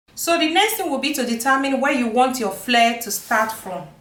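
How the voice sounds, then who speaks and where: A woman with a high pitch is heard through noticeable background noise and audible room echo. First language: not English. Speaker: sewing and pattern making teacher. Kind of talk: tutorial.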